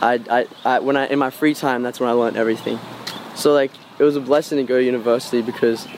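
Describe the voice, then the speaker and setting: Over noticeable background noise, a man with an Australian accent speaks at a very fast pace. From Australia, Cairns, Queensland. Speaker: musician. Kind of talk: casual interview. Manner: halting.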